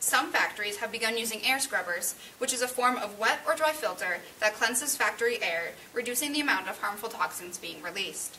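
Light background noise accompanies a woman's fairly high voice. She talks at a fairly quick pace with lively intonation. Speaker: student playing political candidate. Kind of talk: staged mock debate for class. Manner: formal. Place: classroom. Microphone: camera far.

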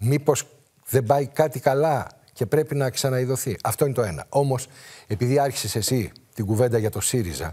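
Over a quiet background, a man speaks at a moderate pace in a dark, mellow, somewhat breathy tone with ordinary pitch variation. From rural Greece. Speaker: political commentator. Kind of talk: political talk show debate. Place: studio. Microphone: lapel.

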